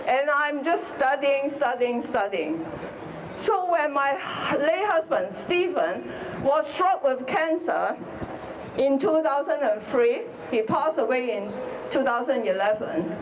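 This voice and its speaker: Speaking at a fairly slow pace in a Hong Kong accent, a woman uses a high pitch with very wide swings and very even loudness, with audible room echo and noticeable background noise. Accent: Hong Kong Chinese. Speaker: politician. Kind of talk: rally speech. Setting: outdoor rally with crowd.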